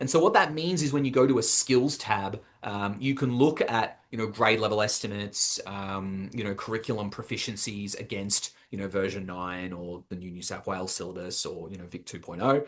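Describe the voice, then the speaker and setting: In an Australian accent, a man with a fairly low pitch and ordinary pitch variation talks with hardly any pauses. His loudness shows big swings. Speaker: education webinar presenter. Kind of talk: webinar presentation. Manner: fast.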